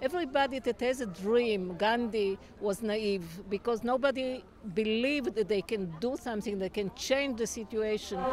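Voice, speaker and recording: Noticeable background noise sits behind a woman speaking at a moderate pace, her fairly high pitch moving with ordinary variation. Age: 60s. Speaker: peace activist. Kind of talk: interview. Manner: halting.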